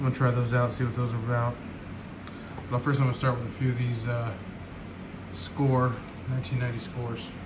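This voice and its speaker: Long, frequent pauses from a man at a moderate pace, over noticeable background noise. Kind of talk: casual pack opening commentary. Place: home room.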